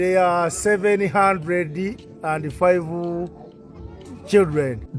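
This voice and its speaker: Music plays in the background as the speaker talks at a very slow pace with ordinary pitch variation. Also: man, high pitch for a man. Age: 60s. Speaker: farmer. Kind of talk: interview answer.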